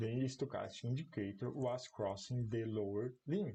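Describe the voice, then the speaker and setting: Speaking at a fairly slow pace with a non-native accent, a man uses a medium-pitched, dark, mellow voice that is somewhat breathy. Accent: non-native English, apologizes for it. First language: Portuguese. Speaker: commodity market analyst. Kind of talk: live-streamed market analysis. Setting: online livestream. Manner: halting.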